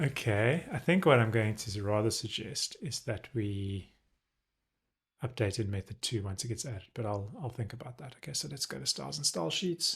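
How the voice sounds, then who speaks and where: Lively in intonation and somewhat breathy, a man speaks at a moderate pace with a medium pitch. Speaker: web developer live streamer. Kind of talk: live coding tutorial. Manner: casual, thinking aloud with fillers.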